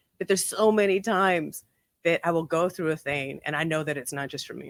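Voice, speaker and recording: A woman speaks at a very fast pace with vocal fry, a fairly low pitch and ordinary pitch variation. The sound is dry and close, with no echo. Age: 50s. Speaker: transformational coach. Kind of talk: casual chat. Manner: halting.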